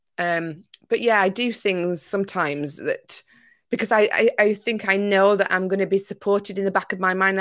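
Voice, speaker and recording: A woman speaks with a Yorkshire accent at a moderate pace and medium pitch, her intonation fairly even. The recording is very clean, with a silent background. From Yorkshire, northern England. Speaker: business coach. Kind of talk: casual chat.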